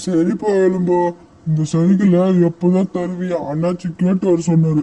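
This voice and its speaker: In a cartoonish character voice, the speaker goes at a fairly slow pace with monotone, flat intonation. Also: man, high pitch for a man. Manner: blustering.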